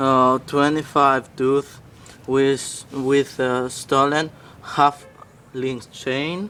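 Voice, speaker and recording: In a non-native accent, a man speaks very slowly at a fairly high pitch with monotone, flat intonation. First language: not English. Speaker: BMX rider. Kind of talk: casual bike walkthrough to camera. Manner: hesitant, many fillers.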